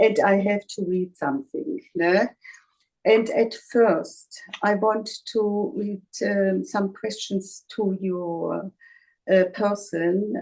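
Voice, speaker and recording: In a German accent, the speaker talks at a very slow pace in a dark, mellow tone with ordinary pitch variation. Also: woman. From Germany, Bavaria. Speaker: interviewer. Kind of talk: interview. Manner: halting.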